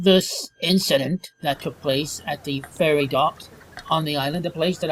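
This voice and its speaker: A man speaks with a high pitch and ordinary pitch variation. Noticeable background noise runs underneath. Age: 50s. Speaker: vlogger. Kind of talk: personal vlog monologue.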